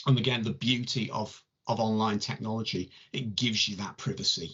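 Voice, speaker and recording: A man talks at a fairly quick pace in a medium pitch. His voice has vocal fry and ordinary pitch variation. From northern England, between Warrington and Liverpool. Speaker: tarot reader and channel host. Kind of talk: casual chat.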